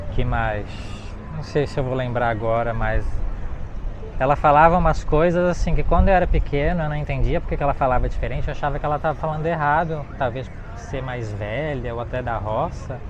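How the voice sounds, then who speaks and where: A man speaks at a fairly quick pace with ordinary pitch variation, with audible room echo and noticeable background noise. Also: medium pitch for a man. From Brazil, Florianópolis. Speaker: travel vlogger. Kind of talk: walking travel vlog. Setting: outdoors by the river.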